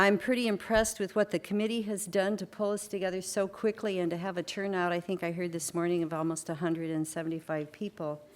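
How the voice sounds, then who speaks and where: A woman speaks at a fairly quick pace with a fairly low pitch. Her intonation stays fairly even. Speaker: early childhood program manager and conference keynote speaker. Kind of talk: conference keynote presentation. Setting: conference stage with audience.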